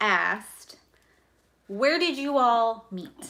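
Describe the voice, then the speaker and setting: Loud and lively in intonation, a woman speaks with a high pitch. Her tone is bright and sharp. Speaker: budgeting youtuber. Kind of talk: casual chat. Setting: livestream.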